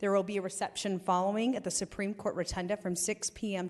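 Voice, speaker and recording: Her medium-pitched voice moves at a fairly quick pace as the woman speaks. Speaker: state assemblywoman. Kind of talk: floor announcements in a legislature. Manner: casual, hesitant.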